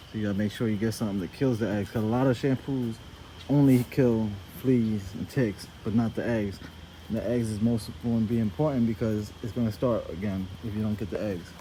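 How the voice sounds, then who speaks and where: Here a man speaks with a plain, everyday voice at medium pitch, his intonation fairly even. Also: fairly quick pace. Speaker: dog breeder. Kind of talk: tutorial. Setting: outdoors.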